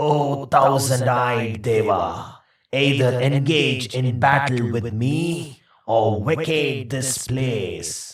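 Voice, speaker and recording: A man's put-on character voice at medium pitch, very slow, with slight echo. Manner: challenging.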